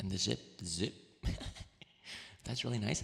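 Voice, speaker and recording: A man whispers at a moderate pace as noticeable background noise surrounds him. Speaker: VTuber and ASMR streamer. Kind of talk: ASMR livestream talking with chat. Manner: soft-spoken, gentle, friendly.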